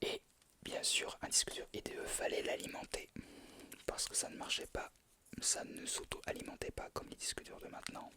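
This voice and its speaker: A voice whispers at a moderate pace. Long pauses come often. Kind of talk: ASMR whispered explanation of objects. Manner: whispered.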